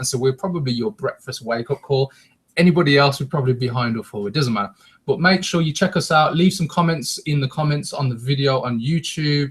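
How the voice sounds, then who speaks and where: With a fairly high pitch and ordinary pitch variation, a man talks at a very fast pace in a somewhat breathy voice. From West Midlands, England (Wolverhampton). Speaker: internet marketing show co-host. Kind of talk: live webcast presentation. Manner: energetic.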